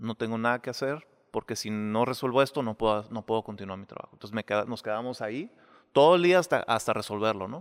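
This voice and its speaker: Recorded very cleanly against a silent background, with a dry, close sound and no echo, a man talks very fast at a medium pitch, his pitch varying in an ordinary way and his loudness swinging widely. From Mexicali, Mexico. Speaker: architect. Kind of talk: casual interview.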